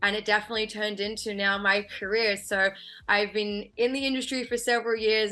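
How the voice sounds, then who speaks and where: A woman with an Australian accent talks at a very fast pace, her tone bright and sharp and her intonation fairly even, against a quiet background. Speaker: film and TV producer. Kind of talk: interview.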